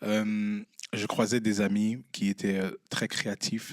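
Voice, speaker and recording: A man speaks with a fairly low pitch. The sound is dry and close, with no echo. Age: 20s. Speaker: entrepreneur and artist. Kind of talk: live podcast interview. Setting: stage with live audience. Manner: animated, addresses the audience.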